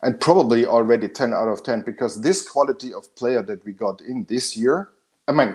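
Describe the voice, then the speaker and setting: A man with a German accent talks at a fairly quick pace and a medium pitch. His intonation is lively, and his loudness swings widely. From Austria. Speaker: football fan panelist. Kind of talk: casual chat. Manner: animated.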